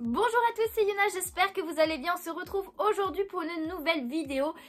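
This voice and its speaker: Her intonation is lively and her pitch extremely high. The woman speaks at a fairly quick pace. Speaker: YouTuber, manga and Pokémon collector. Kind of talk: unboxing video, casual talk to viewers. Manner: hesitant, many fillers.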